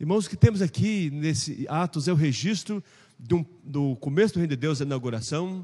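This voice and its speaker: This man has a dark, mellow tone. He talks at a fairly quick pace. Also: fairly high pitch for a man, ordinary pitch variation. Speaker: pastor teaching Sunday school. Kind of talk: Bible class lecture. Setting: church classroom. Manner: fast.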